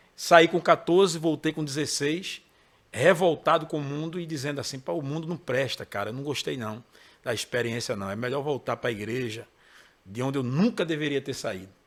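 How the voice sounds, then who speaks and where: A man at a fairly high pitch, with lively intonation and a moderate pace. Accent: Pernambuco. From Pernambuco, Brazil (Recife metro area). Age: 40s. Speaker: gospel singer and songwriter. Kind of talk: interview. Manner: casual.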